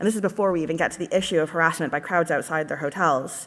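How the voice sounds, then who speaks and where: Very fast delivery from a woman with a Canadian accent, her pitch fairly low, with ordinary pitch variation. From Canada. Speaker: party conference delegate. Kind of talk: conference speech. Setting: conference hall.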